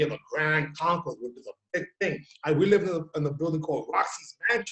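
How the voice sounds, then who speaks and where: A man with a New York accent, fairly high in pitch, at a very fast pace. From New York City, Bronx. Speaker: talk show host. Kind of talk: casual chat.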